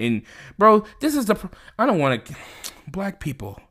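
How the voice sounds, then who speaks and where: The recording is very clean, with a silent background. Vocal fry runs through this man's voice. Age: 20s. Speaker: podcast co-host. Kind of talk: casual chat. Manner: halting, many filler words.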